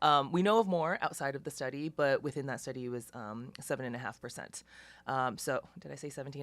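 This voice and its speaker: A woman talks at a fairly quick pace. Her very deep, low pitch shows ordinary pitch variation. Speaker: anesthesiologist. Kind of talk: webinar presentation. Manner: fast; hesitant with many fillers.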